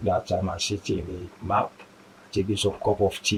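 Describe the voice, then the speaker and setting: A man speaks at a fairly low pitch, somewhat breathy. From Sierra Leone. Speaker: asylum seeker and community volunteer. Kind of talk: interview. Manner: halting.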